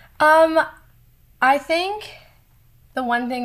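A woman with an American accent, music in the background. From South Florida, US. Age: 20s. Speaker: singer-songwriter. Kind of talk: casual interview.

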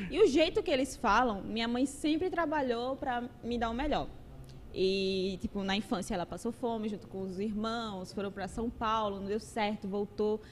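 A woman's lively intonation and fairly high pitch carry along at a moderate pace. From Paraíba, Brazil. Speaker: content creator. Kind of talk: casual interview chat.

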